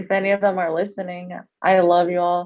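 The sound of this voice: A woman's fairly low voice at a fairly quick pace, with little pitch movement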